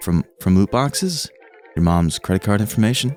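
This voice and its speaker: Music plays in the background. A man speaks with lively intonation. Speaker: VTuber. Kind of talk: gaming news commentary. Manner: upbeat, joking.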